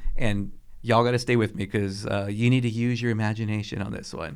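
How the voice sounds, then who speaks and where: At a very fast pace, a man with a medium pitch speaks amid audible room echo. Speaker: city council member and public speaker. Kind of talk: casual chat. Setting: studio.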